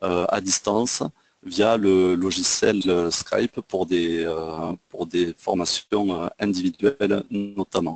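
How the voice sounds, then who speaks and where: A man's very deep, low pitch at a very slow pace, with fairly even intonation and a dry, close sound with no echo. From southwest France, Toulouse. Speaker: trading trainer. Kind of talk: webinar lecture. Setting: online webinar. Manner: hesitant, many fillers. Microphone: sound reported good.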